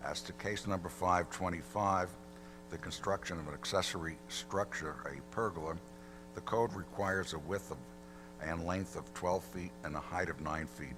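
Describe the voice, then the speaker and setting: A quiet man's very deep, low voice with lively intonation amid noticeable background noise. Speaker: attorney for applicant. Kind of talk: formal presentation at public hearing. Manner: too quiet.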